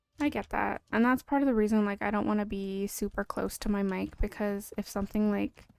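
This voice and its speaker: A soft-spoken woman at a moderate pace. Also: long, frequent pauses. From Canada. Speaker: game streamer. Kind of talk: casual live-stream chat. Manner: quiet. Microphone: standalone mic with no gain control, too quiet.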